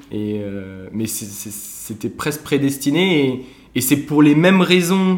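Speaking at a very slow pace, a man with a fairly high voice makes very wide pitch swings and big swings in loudness. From Alsace, France. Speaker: former engineering student, brass band member. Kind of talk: casual interview chat.

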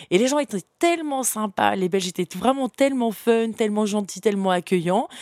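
An animated woman's voice with very wide pitch swings, recorded dry and close with no echo. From France, Paris suburbs, partly Africa. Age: young. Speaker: entrepreneur. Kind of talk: interview.

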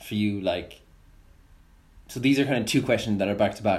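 With an Irish accent, a man speaks using ordinary pitch variation. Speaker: podcast host. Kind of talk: casual interview.

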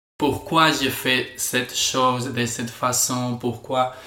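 A man at a very slow pace with monotone, flat intonation, over noticeable background noise. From Spain. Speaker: podcast guest. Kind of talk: casual chat. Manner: halting.

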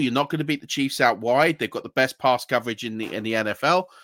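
Recorded very cleanly against a silent background, a man with a British accent speaks in a dry, close sound with no echo. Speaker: podcast host. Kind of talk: casual chat.

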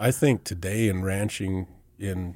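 A man's very deep, low voice, dark and mellow in tone, with monotone, flat intonation and a rural Northern Plains accent, on a very clean recording with a silent background. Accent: rural Northern Plains American. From US Northern Plains, western South Dakota. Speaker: ranch land broker. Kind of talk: casual interview.

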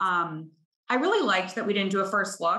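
A woman speaks with an American accent at medium pitch and a moderate pace, in an unremarkable speaking voice. Her intonation is fairly even. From Chicago. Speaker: bride sharing her wedding story. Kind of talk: casual interview chat.

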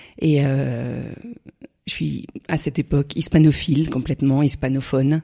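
A woman with a very deep, low pitch and a dark, mellow tone speaks with fairly even intonation. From France, Burgundy (Morvan). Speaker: champagne entrepreneur. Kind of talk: interview. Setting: countryside, in person.

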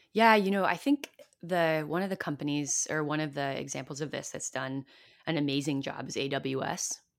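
A woman with a Californian accent, very deep and low in pitch, at a moderate pace with ordinary pitch variation, on a very clean recording with a silent background. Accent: Californian American English. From US, Silicon Valley. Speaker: community-building consultant and author. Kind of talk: podcast interview.

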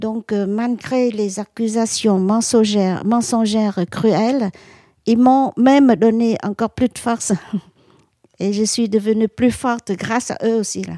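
A woman speaks very slowly in a dark, mellow tone. The sound is dry and close with no echo, and the background is quiet. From Vietnam. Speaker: activist and former war reporter. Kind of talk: interview. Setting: at home. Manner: halting.

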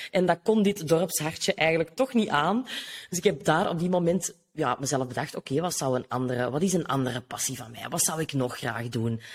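A woman speaks at a fairly quick pace with a Kempen accent. Her pitch swings very widely. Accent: Flemish (Kempen) Dutch. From Flanders, Belgium (Noorderkempen). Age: 30s. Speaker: business coach. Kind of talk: casual interview.

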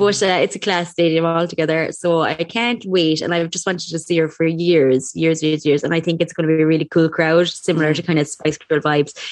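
Very fast and with fairly even intonation, a woman speaks with an Irish accent over noticeable background noise. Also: fairly low pitch for a woman, hardly any pauses. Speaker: podcast co-host. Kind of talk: casual chat.

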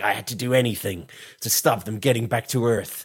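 A man puts on a character voice at a medium pitch. He speaks at a fairly quick pace.

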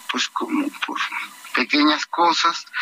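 Speaking very slowly in a raised, projected voice, a man swings his pitch very widely. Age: 30s. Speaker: party leader, politician. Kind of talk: radio interview.

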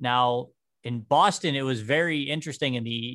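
With an American accent, a man has an ordinary speaking voice at medium pitch with ordinary pitch variation. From western Pennsylvania (New Castle). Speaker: podcast host, amateur historian. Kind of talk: casual podcast chat about history.

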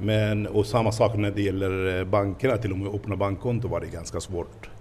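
His pitch is fairly low for a man. He keeps a moderate pace, and his intonation is fairly even. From Palestine. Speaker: restaurant owner. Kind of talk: interview. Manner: halting.

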